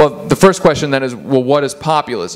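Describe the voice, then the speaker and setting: Background noise is clearly audible. Over it, a man talks fairly quickly. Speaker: author and political journalist. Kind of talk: lecture with slides. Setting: office presentation with audience. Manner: fast.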